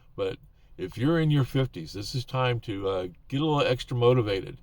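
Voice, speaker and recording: Lively intonation, a somewhat breathy voice and a moderate pace. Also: man. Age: 70s. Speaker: YouTuber giving advice to older creators. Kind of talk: casual talk-to-camera advice. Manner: hesitant, many fillers.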